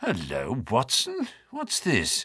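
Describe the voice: A man puts on a character voice at a medium pitch, with very wide pitch swings and a slow pace. His tone is bright and sharp with a husky, rough edge, on a very clean recording with a silent background.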